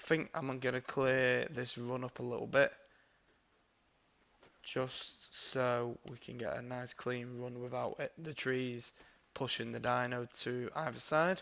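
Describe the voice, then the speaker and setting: A man speaks with a British accent. His intonation is monotone and flat. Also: medium pitch for a man. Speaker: gaming youtuber. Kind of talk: casual gameplay commentary.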